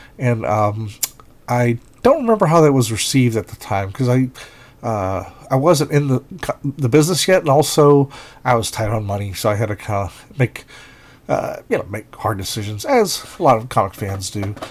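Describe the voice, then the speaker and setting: Here a man talks at a medium pitch with lively intonation. His voice is somewhat breathy. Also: moderate pace. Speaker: comic book artist and inker. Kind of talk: casual commentary. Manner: halting, many fillers.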